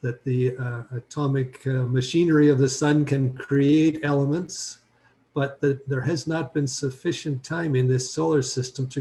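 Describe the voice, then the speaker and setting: Somewhat breathy and fairly high-pitched for a man, his dark, mellow tone moves at a fairly slow pace with fairly even intonation. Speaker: lecturer on anthroposophy. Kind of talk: lecture. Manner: hesitant with frequent fillers.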